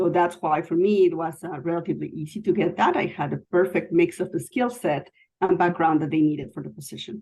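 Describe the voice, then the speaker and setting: With a non-native accent, a woman speaks at a very fast pace with hardly any pauses, her fairly low voice dark and mellow and her intonation fairly even. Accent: foreign. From Mexico City. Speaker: IT executive. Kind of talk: interview.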